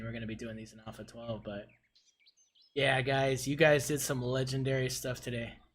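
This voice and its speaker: Somewhat breathy and medium in pitch, a man speaks fairly quickly with fairly even intonation. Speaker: game streamer. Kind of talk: live stream commentary.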